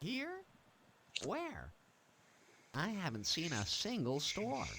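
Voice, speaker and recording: A man puts on a character voice, high in pitch, and talks very slowly. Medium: video game. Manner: awkwardly polite.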